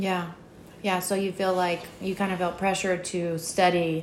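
A woman's fairly low, monotone voice with flat intonation, at a fairly slow pace, with audible room echo. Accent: American. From Virginia. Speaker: podcast host. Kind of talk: interview.

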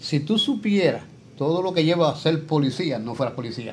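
With lively intonation and a somewhat breathy quality, the speech moves along at a moderate pace. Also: man. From Puerto Rico, San Lorenzo. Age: 70s. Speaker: retired professional wrestler. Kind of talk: interview.

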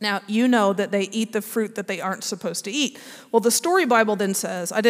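The voice reads in an unforced way. Pitch stays fairly even throughout.

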